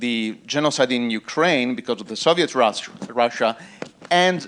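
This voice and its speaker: A man speaks with an Italian accent. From Italy. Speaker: panel moderator. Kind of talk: conference panel introduction. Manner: halting.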